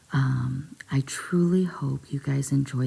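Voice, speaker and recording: Noticeable background noise sits under a soft-spoken delivery. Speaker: ASMR storyteller. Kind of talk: soft-spoken ASMR story reading. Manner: hesitant with frequent ums.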